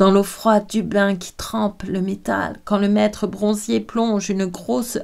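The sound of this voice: Intonation remains fairly even in an unforced reading voice.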